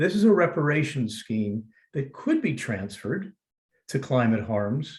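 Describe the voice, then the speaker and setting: A somewhat breathy man with an American accent speaks at a fairly high pitch. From United States. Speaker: legal scholar, former trial lawyer. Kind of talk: panel talk in webinar.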